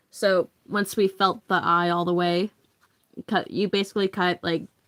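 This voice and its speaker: On a very clean recording with a silent background, a woman's voice sounds shaky. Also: dry, close sound with no echo. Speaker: livestreamer making therian masks. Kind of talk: casual livestream chat while crafting. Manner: shaky voice.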